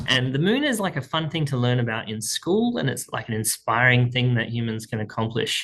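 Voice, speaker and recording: The speech comes at a fairly quick pace in an Australian accent. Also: man. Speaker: speaking coach. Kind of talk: tutorial. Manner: casual, conversational.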